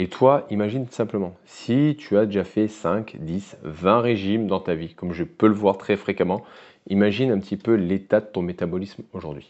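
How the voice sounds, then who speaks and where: A man speaks at a fairly slow pace with a fairly low pitch. His pitch varies in an ordinary way. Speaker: weight loss coach. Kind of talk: educational monologue to camera. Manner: casual, direct address.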